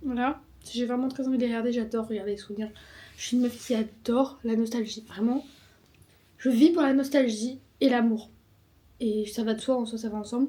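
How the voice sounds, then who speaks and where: Mumbling at a fairly quick pace with long, frequent pauses, a woman speaks in a high pitch with a dark, mellow tone and fairly even intonation. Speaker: vlogger. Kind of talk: vlog monologue.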